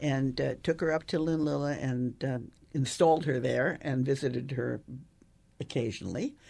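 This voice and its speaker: A woman's very deep, low voice with a dark, mellow tone and vocal fry, ordinary pitch variation and a moderate pace. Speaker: newspaper columnist and author. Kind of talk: interview. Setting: studio. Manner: halting.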